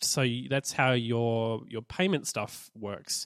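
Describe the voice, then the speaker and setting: A man with an Australian accent at a fairly slow pace, the sound dry and close with no echo. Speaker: podcast host. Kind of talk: casual chat.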